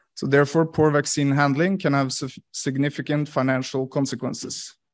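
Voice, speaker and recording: A man's fairly even intonation comes across against a quiet background. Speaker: conference presenter. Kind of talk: conference presentation. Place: hall.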